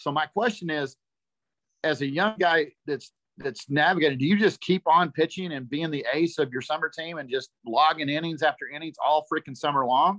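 A man speaks in a Texan accent at a moderate pace, with ordinary pitch variation. His pitch is fairly high, and the background is quiet. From Texas. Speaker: parent of a young pitcher. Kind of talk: question to a panel. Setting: video call on a phone. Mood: earnest, concerned parent. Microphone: video call.

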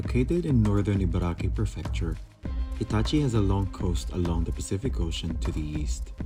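A man with a very deep, low pitch talks at a fairly quick pace, his voice making very wide pitch swings. Music plays in the background. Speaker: vlog narrator. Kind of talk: travel narration.

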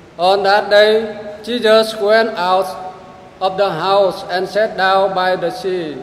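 Over audible room echo, a man with a high pitch speaks at a very slow pace in a monotone, flat intonation. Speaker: gospel reader at Mass. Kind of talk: reading aloud, scripture. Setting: church. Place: church.

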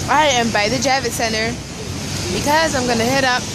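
Loud background noise surrounds a woman whose voice has a dry sound with no echo. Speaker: vlogger. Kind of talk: casual vlog chat. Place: street. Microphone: phone near.

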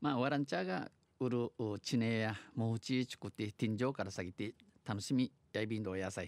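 A man's fairly low voice at a moderate pace, in a dry, close sound with no echo. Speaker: dialect news presenter. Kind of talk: radio news read in Okinawan dialect and Japanese.

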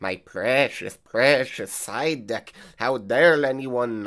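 A put-on character voice is heard. It moves at a very slow pace. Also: man, medium pitch for a man. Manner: creepy, possessive.

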